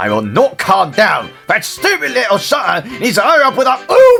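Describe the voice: Doing a cartoonish character voice, a man uses a high pitch with very wide pitch swings, a bright, sharp tone and vocal fry at a moderate pace, with faint music in the background.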